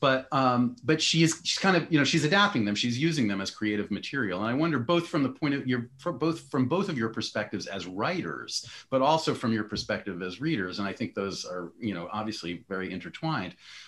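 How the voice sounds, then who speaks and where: Speaking fairly quickly with hardly any pauses, a man with an American accent and a medium pitch lets his voice swing very widely. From US East Coast. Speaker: essayist and editor moderating a panel. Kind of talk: panel discussion. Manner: halting, many false starts.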